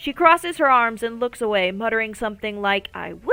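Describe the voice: Text read aloud plainly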